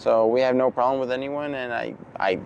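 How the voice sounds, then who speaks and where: Amid noticeable background noise, a man with a Spanish accent talks at a moderate pace and medium pitch in a monotone, flat intonation. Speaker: circus performer. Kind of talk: interview. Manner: hesitant, repeats words.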